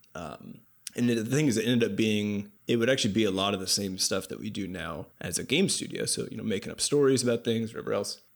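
A man speaks at a very fast pace in a medium pitch with ordinary pitch variation. Vocal fry runs through his voice. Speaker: game artist and podcast host. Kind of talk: casual comedic chat podcast.

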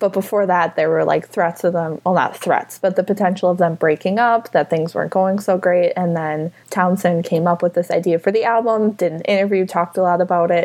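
A woman with a Wisconsin accent talks at a medium pitch and a fairly quick pace. Her intonation stays fairly even, with hardly any pauses. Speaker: podcast guest. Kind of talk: casual chat.

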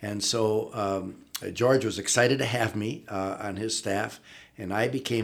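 The voice carries an Upper Midwest accent and fairly even intonation. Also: man. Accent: Upper Midwest (Minnesota). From northern Minnesota, Iron Range. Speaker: retired athletics director. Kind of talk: interview. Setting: studio.

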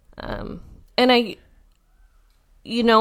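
An American accent comes through. The recording is very clean with a silent background. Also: woman. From US Pacific Northwest, adopted from India as a baby. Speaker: stay-at-home mom, podcast guest. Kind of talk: casual family conversation.

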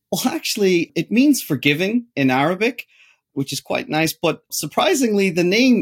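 With a Northern Irish accent, a man speaks at a moderate pace in very wide pitch swings, the sound dry and close with no echo. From Northern Ireland, Derry. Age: 30s. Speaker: technology entrepreneur. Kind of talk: interview.

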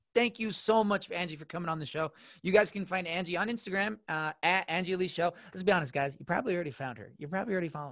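Over a quiet background, a man with a high pitch talks at a very fast pace with hardly any pauses, an animated tone, ordinary pitch variation and big swings in loudness. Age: 20s. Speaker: podcast host. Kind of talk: casual chat. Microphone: new mic.

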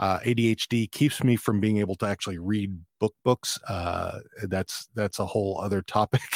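A man with an American accent and a plain, everyday voice, fairly low in pitch, with fairly even intonation at a moderate pace, in a very clean recording with a silent background and a dry, close sound with no echo. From Texas (Fort Worth, then rural Texas). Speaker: podcaster and army veteran. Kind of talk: casual interview chat. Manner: laughs often, relaxed.

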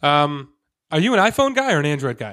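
The recording is very clean, and the background is silent. A man does the talking. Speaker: podcast host. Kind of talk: casual interview chat.

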